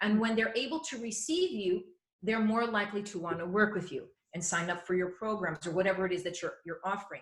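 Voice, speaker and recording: A woman at a medium pitch talks at a very fast pace, with ordinary pitch variation. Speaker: yoga teacher, wellness expert. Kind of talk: interview, advice. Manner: loud; animated.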